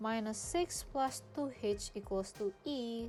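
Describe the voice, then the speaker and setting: Very slow speech from a woman, backed by music. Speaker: freelance math tutor. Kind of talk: tutorial. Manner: casual, informal.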